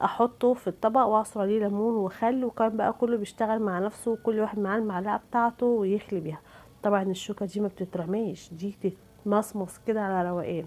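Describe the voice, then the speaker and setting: Talking at a fairly quick pace, a woman with an Egyptian accent keeps a medium pitch and fairly even intonation. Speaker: cooking channel host. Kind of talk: cooking tutorial.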